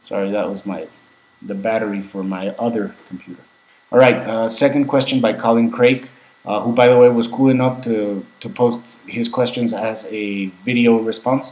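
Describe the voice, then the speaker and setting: A man with a Spanish accent speaks at a moderate pace, his loudness swinging widely over noticeable background noise. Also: medium pitch for a man, fairly even intonation. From Mexico. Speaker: vlogger. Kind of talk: casual Q&A vlog. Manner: halting, many fillers and repeats.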